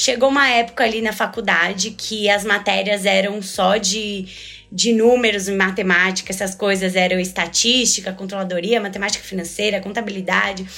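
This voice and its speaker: A woman's medium-pitched voice is heard with noticeable noise in the background. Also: fairly even intonation, moderate pace. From Brazil, São Paulo city. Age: 20s. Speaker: finance and HR manager. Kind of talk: casual interview.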